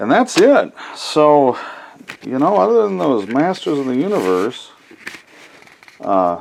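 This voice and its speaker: The pitch swings very widely. Background noise can be clearly heard. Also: man. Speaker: collectibles video creator. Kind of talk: casual unboxing commentary. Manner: halting.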